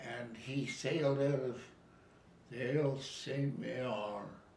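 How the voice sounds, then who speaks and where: A man with a Canadian accent talks at a very slow pace, his pitch medium. Noticeable background noise runs under the recording. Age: 80s+. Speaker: war veteran. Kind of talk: interview answer.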